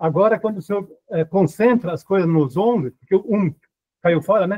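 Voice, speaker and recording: Moving at a moderate pace, a man speaks with a high pitch and ordinary pitch variation. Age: 70s. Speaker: congregation member asking question. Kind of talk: question from audience. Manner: halting, hesitant.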